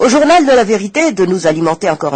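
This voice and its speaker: Very wide pitch swings from a man speaking at a fairly quick pace. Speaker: radio press review host. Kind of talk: press review reading with commentary. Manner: hesitant with fillers.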